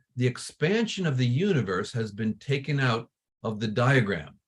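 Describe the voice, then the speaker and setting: This man's voice is somewhat breathy, and he speaks at a moderate pace. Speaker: astronomy professor. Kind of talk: lecture.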